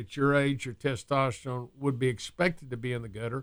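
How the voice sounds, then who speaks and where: A man speaks in a normal speaking voice, medium in pitch and at a fairly quick pace, with ordinary pitch variation. The recording is very clean, the background silent. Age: 60s. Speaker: physician and wellness show host. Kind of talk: casual interview.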